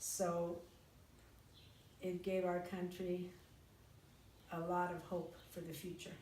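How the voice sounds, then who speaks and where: Amid audible room echo, a woman with an American accent speaks very slowly at a fairly low pitch, in a monotone, flat delivery broken by long, frequent pauses. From United States. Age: 60s. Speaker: interviewee recalling history. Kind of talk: interview.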